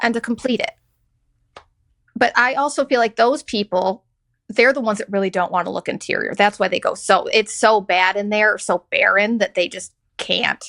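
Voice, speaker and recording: A woman with a bright, sharp tone and fairly high pitch, ordinary pitch variation, a moderate pace, and a dry, close sound with no echo over a quiet background. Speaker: podcast host. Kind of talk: casual podcast conversation.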